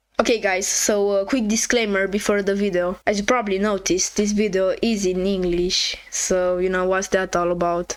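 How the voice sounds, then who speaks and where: A woman with a non-native accent speaks at a medium pitch and a moderate pace, with hardly any pauses. Her intonation is monotone and flat, her loudness very even, and background noise is noticeable. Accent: non-native English accent, self-reported. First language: not English. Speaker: game developer youtuber. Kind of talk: devlog explanation. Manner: casual, with filler words.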